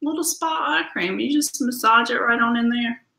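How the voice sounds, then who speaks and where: In a room with audible echo, a woman with a Southern US accent talks quickly at a high pitch with lively intonation. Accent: US South. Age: 40s. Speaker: beauty product consultant; skincare consultant host. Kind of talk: live product demo. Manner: animated. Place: home room. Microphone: webcam.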